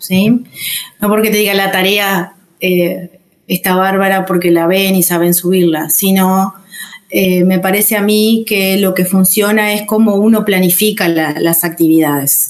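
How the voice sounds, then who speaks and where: The speech comes at a fairly slow pace, with very even loudness and fairly even intonation. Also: woman, medium pitch for a woman. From Uruguay, Rocha. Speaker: English teacher. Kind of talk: interview. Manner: halting.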